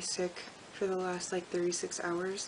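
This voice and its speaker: A woman speaks in a flat monotone. Noticeable background noise runs underneath. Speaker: book vlogger. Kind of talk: casual talk to camera.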